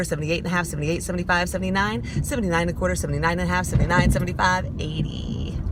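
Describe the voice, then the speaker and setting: The speaker talks at a very fast pace with an American accent. Noticeable background noise runs underneath. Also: woman. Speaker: auctioneer. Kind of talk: auction number scale practice. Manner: fast, rhythmic.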